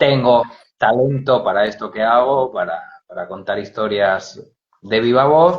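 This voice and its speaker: A man with a Spanish accent talks at a moderate pace and medium pitch, using ordinary pitch variation. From Spain. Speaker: storyteller. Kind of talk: interview. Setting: Instagram live video call.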